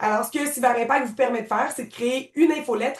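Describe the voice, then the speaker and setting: A woman speaks at a fairly high pitch. She has an ordinary speaking voice. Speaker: software trainer. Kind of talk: tutorial.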